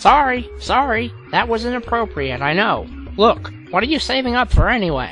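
A cartoonish character voice moves at a moderate pace. Music plays clearly in the background. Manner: brash, sarcastic, joking.

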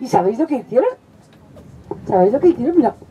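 A woman's voice is heard over light background noise. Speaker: children's storyteller. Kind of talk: storytelling performance with character voices. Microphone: headset.

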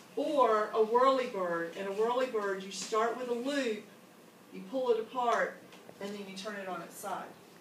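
A woman talks at a moderate pace with ordinary pitch variation and big swings in loudness. Room echo is audible, along with light background noise. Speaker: teacher leading training. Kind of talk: instructional explanation to colleagues. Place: classroom. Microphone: camera far.

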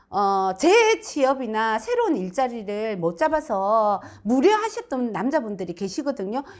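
A woman speaks at a very slow pace in a high pitch. Her voice moves through very wide pitch swings. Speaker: fortune teller. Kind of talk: fortune-telling reading. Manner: explanatory, conversational.

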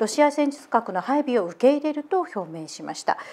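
A woman speaks at a high pitch with very wide pitch swings. The recording is very clean, with a silent background. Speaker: assistant host. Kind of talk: news reading and casual chat.

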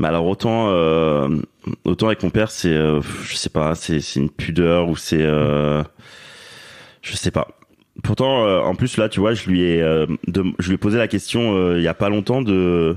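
A man's very deep, low voice with very even loudness, ordinary pitch variation, and long, frequent pauses. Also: fairly slow pace. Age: 30s. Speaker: father sharing his story. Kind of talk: interview testimony. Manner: halting, many fillers.

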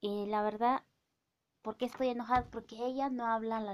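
This woman's voice sits at a fairly high pitch, with fairly even intonation. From Oaxaca, Mexico (Mazatec community); Oaxaca, Mexico. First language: Mazatec (speaking Spanish). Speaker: vlogger; vlogger commenting on a celebrity. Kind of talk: casual vlog monologue. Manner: hesitant, many fillers. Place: home room. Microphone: phone near.

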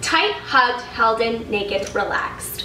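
A woman's high voice at a very slow pace, with audible room echo and light background noise. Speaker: lifestyle vlogger. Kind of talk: casual haul vlog chat. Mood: upbeat, enthusiastic. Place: home room.

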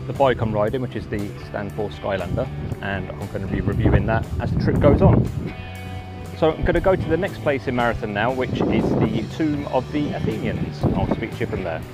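Loud music plays behind a man as he speaks. The sound is dry, with no echo. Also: fairly quick pace. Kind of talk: casual vlog chat. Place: waterside. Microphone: phone near.

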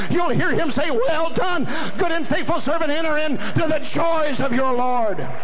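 A man keeps a moderate pace and ordinary pitch variation, with noticeable background noise behind him. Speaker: evangelist preacher. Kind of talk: revival sermon climax with call-and-response. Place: hall.

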